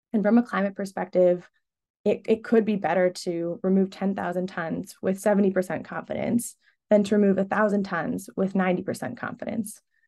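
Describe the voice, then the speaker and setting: Against a quiet background, a woman talks at a fairly quick pace with a medium pitch, vocal fry, a dark, mellow tone and fairly even intonation. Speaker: carbon removal buyer, webinar speaker. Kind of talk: webinar presentation.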